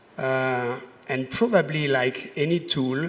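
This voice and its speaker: A man speaks with a French accent at a fairly high pitch. His pace is very slow. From France. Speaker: voice technology speaker on a panel. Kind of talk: conference presentation.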